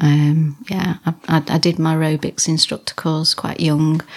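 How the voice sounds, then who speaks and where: Over noticeable background noise, a woman with a very deep, low pitch speaks at a moderate pace in a monotone, flat delivery. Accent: slight Lancashire. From Wigan, Lancashire. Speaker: bodybuilder and gym owner. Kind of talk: casual interview chat.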